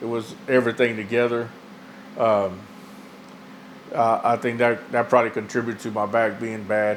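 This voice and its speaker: A man talks in a monotone with flat intonation. His speech has long, frequent pauses. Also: medium pitch for a man, moderate pace. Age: 60s. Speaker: patient giving testimonial. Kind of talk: testimony. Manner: halting, many fillers and repetitions.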